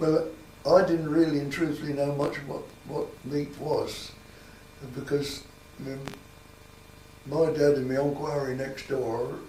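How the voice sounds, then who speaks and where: Speaking at a fairly slow pace with long, frequent pauses, a man with a Sussex accent has a fairly high pitch and monotone, flat intonation, with audible room echo and noticeable background noise. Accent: rural Sussex English. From southern England, Sussex (Copthorne area). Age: 80s+. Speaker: local elder interviewed about village history. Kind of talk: oral history interview. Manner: halting, with many repetitions.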